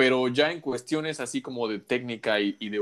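On a very clean recording with a silent background, a man at medium pitch speaks at a moderate pace in a bright, sharp tone with ordinary pitch variation. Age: 30s. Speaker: podcast host. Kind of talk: casual chat.

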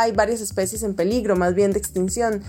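Music plays in the background as a woman with a Costa Rican accent speaks at a medium pitch. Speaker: radio host. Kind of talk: interview.

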